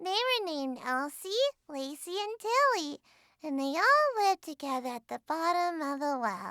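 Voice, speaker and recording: A woman puts on a squeaky character voice at an extremely high pitch, swinging very widely up and down. She talks at a moderate pace, and the sound is dry and close with no echo. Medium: virtual streamer. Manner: sleepy, rambling.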